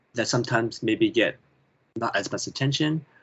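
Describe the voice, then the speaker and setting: A man with a Canadian accent. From Canada. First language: Chinese. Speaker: children's author and illustrator. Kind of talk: interview.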